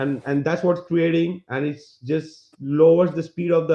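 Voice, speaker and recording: This is a man with a non-native accent. He speaks at a moderate pace with fairly even intonation. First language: not English. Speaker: flat earth presenter. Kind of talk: podcast presentation. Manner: halting.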